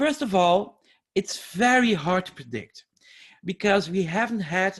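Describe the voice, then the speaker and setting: In a Flemish accent, a man talks with lively intonation against a quiet background. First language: Dutch (Flemish). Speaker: educational scientist and teacher trainer. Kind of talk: webinar lecture. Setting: online webinar.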